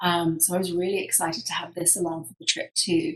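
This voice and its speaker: With a British accent, the speaker talks at a moderate pace in a somewhat breathy voice. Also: woman. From UK. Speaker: professional photographer. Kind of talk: presentation talk. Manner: hesitant with frequent fillers.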